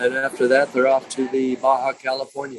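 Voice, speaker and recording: Recorded with a dry, close sound and no echo, a man with an American accent speaks at medium pitch and a fairly quick pace. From New York, Long Island. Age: 60s. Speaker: entrepreneur. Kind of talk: interview. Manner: halting.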